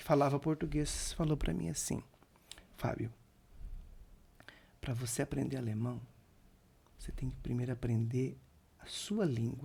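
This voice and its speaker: A man's somewhat breathy voice with a dark, mellow tone, at a moderate pace. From Brazil, Santa Catarina (Sombrio), rural. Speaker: chef and restaurant owner. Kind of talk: podcast interview. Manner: halting, self-correcting.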